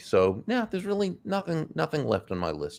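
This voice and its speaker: Very wide pitch swings from a male speaker. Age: 60s. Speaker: author and speaker. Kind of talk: interview.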